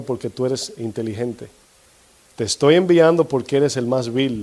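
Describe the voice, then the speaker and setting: The voice belongs to a man with a dark, mellow tone. He moves at a fairly quick pace. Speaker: pastor. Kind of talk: sermon. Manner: fast; occasional stumbling over words.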